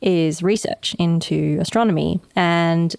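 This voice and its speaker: A woman speaks with an Australian accent at a fairly low pitch. The recording is very clean, with a silent background. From Western Australia. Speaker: astronomy lecturer and podcast co-host. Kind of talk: casual podcast chat. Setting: studio.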